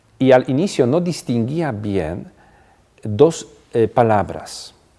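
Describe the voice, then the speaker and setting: A man with a non-native accent speaks very slowly at a medium pitch, his tone dark and mellow and his intonation lively. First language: not Spanish (speaking Spanish). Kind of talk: TV interview. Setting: TV studio.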